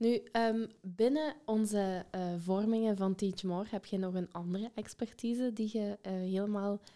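Speaking at a medium pitch with a dark, mellow tone, a woman talks in a Limburg accent. Her pace is fairly slow and her intonation fairly even. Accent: Limburg Flemish. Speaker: podcast host and educator. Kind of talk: interview.

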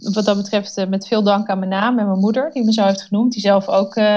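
A woman's dark, mellow tone at a medium pitch. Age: 30s. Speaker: agency founder. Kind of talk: interview.

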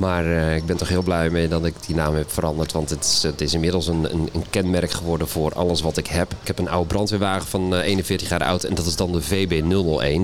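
A man with a very deep, low voice talks at a fairly quick pace in a flat monotone, with hardly any pauses and very even loudness, amid audible room echo and noticeable background noise. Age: 40s. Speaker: boating vlogger. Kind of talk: casual interview. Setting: live stage at boat show.

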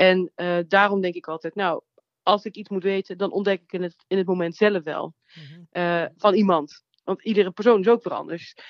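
A woman's normal speaking voice at a medium pitch, with a moderate pace, fairly even intonation and big swings in loudness. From Netherlands, North Brabant (Nuland). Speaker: comedian and theatre maker. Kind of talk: interview. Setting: phone call.

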